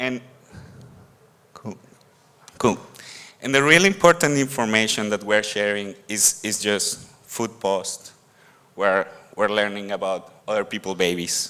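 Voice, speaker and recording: The speaker has a Mexican accent and a bright, sharp tone, talking at a fairly slow pace with long, frequent pauses. Pitch variation is ordinary. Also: man, fairly low pitch for a man. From Mexico. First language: Spanish. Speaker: conference speaker. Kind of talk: conference talk. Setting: stage with audience. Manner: halting, with repetitions.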